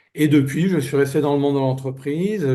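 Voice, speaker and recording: With a dark, mellow, somewhat breathy tone, a man speaks at medium pitch and a moderate pace with ordinary pitch variation. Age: 60s. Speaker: business turnaround manager. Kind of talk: interview. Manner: hesitant, many fillers.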